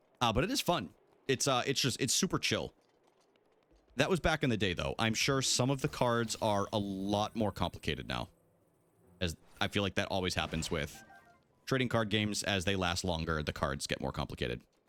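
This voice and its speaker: A man with an American accent speaks in an animated tone at a fairly quick pace, his fairly low pitch swinging very widely. He leaves long, frequent pauses while music plays in the background. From New England (Boston area). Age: 30s. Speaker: video game streamer. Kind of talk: casual livestream chat while gaming.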